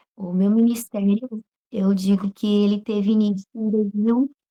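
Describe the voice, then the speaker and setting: A woman talks with a northern Brazilian accent at a fairly slow pace, her intonation monotone and flat. The sound is dry and close with no echo, and her voice is somewhat breathy. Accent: non-local northern Brazilian. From northern Brazil (Pará), later Goiás. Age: young. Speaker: preacher. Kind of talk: interview testimony.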